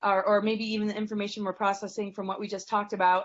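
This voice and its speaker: A woman speaks at medium pitch with monotone, flat intonation. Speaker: astrologer and spiritual teacher. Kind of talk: interview conversation; guided meditation. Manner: fast.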